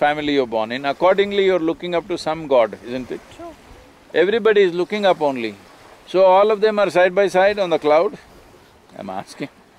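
A man speaks at a fairly quick pace in a high pitch, the sound dry with no echo. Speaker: spiritual teacher being interviewed. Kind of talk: interview answer. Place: waterside.

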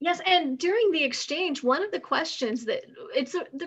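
The woman's intonation is lively as she talks. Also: quiet background. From United States. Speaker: university professor. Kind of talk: webinar presentation. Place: home room. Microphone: video call.

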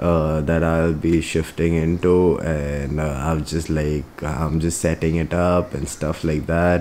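Over light background noise, a man with a very deep, low pitch speaks very slowly in a monotone, flat intonation. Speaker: vlogger. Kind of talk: casual vlog chat. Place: home room. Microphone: phone near.

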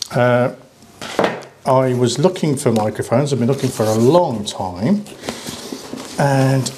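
A man's medium-pitched voice, slightly mellow in tone, at a fairly slow pace with ordinary pitch variation and audible room echo

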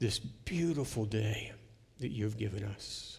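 Somewhat breathy speech at a fairly slow pace. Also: man. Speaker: preacher. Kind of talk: sermon intro and prayer. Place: church. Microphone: headset.

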